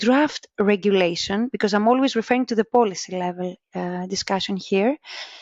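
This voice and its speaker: A woman speaks with a Greek accent at a moderate pace. Her pitch is fairly high. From Greece. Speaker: vocational education researcher. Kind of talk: interview. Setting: podcast. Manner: halting.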